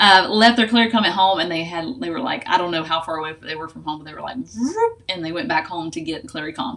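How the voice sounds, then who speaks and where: A woman at a very fast pace with hardly any pauses, lively intonation and big swings in loudness, over noticeable background noise. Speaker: essential oils educator. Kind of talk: tutorial. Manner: casual with filler words.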